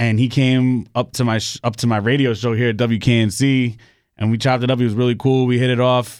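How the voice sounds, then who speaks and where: In a normal speaking voice, a man with an American accent talks fairly quickly at a medium pitch, his intonation fairly even against a quiet background. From New York, the Bronx. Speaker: DJ and hip hop producer. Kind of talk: casual chat. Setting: studio.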